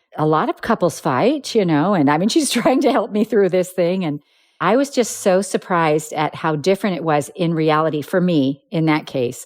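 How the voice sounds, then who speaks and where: Using a normal speaking voice, a woman talks at a moderate pace with lively intonation and a fairly low pitch. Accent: American. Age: 60s. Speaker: quilting business founder and author. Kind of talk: interview.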